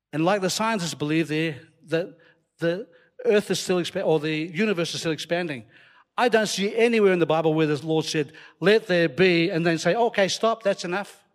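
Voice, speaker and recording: A man with a slight Scottish accent speaks at a high pitch and a fairly quick pace in an animated tone. His pitch variation is ordinary, and the recording is very clean with a silent background. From Scotland. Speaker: preacher. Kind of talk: sermon. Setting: church with live audience. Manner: animated, humorous.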